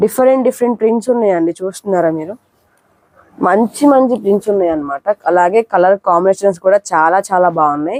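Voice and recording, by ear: In a slightly mellow tone, a woman talks fast at a medium pitch with ordinary pitch variation, the sound dry and close with no echo.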